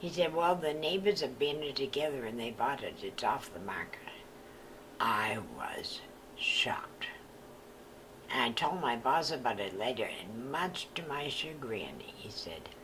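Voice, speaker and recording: A woman speaks at a fairly slow pace in a very deep, low voice with lively intonation. Noticeable background noise sits behind her. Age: 70s. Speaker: retired real estate agent. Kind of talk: personal storytelling.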